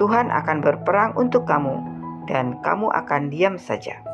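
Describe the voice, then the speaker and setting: A woman's voice at a moderate pace with music in the background. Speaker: Bible reader. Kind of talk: reading aloud.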